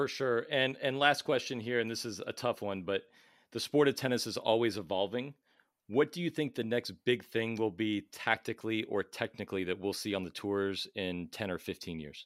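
A man has an ordinary speaking voice with a medium pitch and a moderate pace. The sound is dry and close, with no echo. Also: ordinary pitch variation. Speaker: tennis podcast host and coach. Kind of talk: interview, casual conversational.

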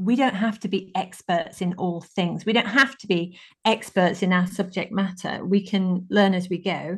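A woman's somewhat breathy, medium-pitched voice with fairly even intonation at a moderate pace, against a quiet background. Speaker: podcast host. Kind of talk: casual chat.

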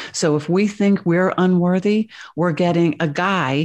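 A woman with a plain, everyday voice, fairly low in pitch, with fairly even intonation against a quiet background. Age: 50s. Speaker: spiritual channeler and author. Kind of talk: interview conversation.

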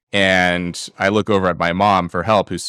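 A man with an American accent, very deep and low in pitch yet bright and sharp in tone, monotone and flat, in a dry, close sound with no echo on a very clean recording with a silent background. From US, Los Angeles. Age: 30s. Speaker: PhD student and writer. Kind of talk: casual interview conversation. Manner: halting, many repetitions and fillers.

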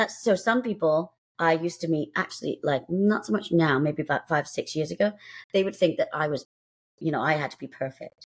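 In a southern English accent, a woman talks at a fairly low pitch with ordinary pitch variation. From southern England. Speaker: author and Reiki practitioner. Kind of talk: casual chat. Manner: talkative.

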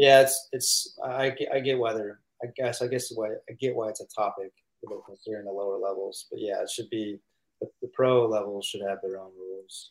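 Speaking at a moderate pace in a Midwestern American accent, a man with a medium pitch keeps his intonation fairly even while his loudness swings widely. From US Midwest, St. Louis, Missouri. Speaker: professional pickleball player. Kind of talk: casual interview.

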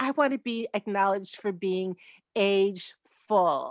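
Recorded with a dry, close sound with no echo and a quiet background, a woman speaks fairly slowly at a medium pitch. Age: 70s. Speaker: actress. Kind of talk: interview.

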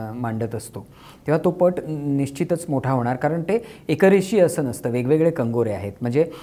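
This man's voice sits at a fairly high pitch. It moves in very wide pitch swings. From Kolhapur, Maharashtra, India. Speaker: novelist and playwright. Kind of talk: interview conversation.

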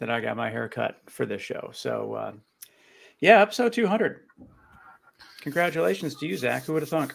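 This man keeps a moderate pace but leaves long, frequent pauses. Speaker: podcast host. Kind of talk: casual interview chat.

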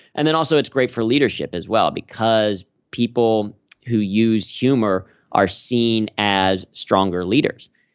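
A man with an American accent speaks at a fairly slow pace in a normal speaking voice, his medium pitch showing ordinary variation. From US Midwest, Cincinnati, Ohio. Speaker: corporate humor trainer and stand-up comedian. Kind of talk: interview.

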